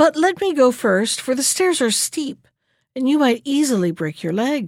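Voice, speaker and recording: A woman uses a put-on character voice with a high pitch. Her pace is moderate. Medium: read story. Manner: sharp, scheming.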